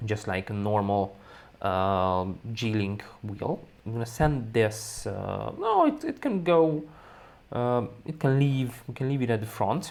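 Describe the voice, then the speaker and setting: Speaking in a Hungarian accent, the voice moves at a fairly slow pace with ordinary pitch variation. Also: man. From Hungary. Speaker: balloon decorating instructor. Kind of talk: software tutorial.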